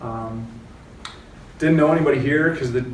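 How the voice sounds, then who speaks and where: A man with an American accent talks at a very fast pace. There is audible room echo and noticeable background noise. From US West Coast, San Francisco Bay Area, California. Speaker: real estate agent. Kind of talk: panel discussion.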